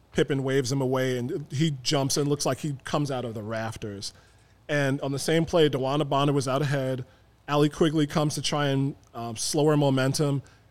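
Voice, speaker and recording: An unremarkable speaking voice with an American accent moves at a fairly quick pace with fairly even intonation. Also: man, fairly high pitch for a man. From Chicago South Side (South Shore). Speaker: sports podcaster. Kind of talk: casual chat. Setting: studio.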